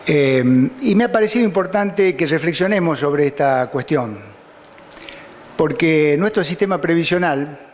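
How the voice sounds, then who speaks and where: Over noticeable background noise, a man speaks with a high pitch and lively intonation. His pace is moderate. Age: 60s. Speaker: judge. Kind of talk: lecture. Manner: halting.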